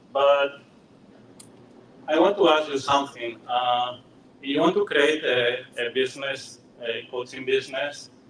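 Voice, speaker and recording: Amid noticeable background noise, a man with a fairly high pitch talks at a fairly slow pace with long, frequent pauses and ordinary pitch variation. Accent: Spanish. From Spain, Madrid. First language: Spanish. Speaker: software engineer and coach. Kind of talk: presentation. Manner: halting, many fillers.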